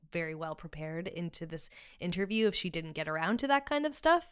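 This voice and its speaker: A fairly quick delivery on a very clean recording with a silent background. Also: woman. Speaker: podcast producer. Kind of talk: casual chat. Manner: fast.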